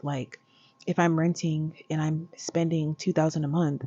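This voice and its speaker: At a moderate pace, a woman speaks with a very deep, low pitch and monotone, flat intonation. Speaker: vlogger. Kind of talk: casual vlog monologue. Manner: talking low.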